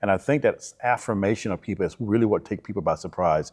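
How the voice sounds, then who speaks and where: Against a quiet background, a man with a Southern US accent talks at a very fast pace with ordinary pitch variation. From Alabama, US South. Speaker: church minister. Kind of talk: interview.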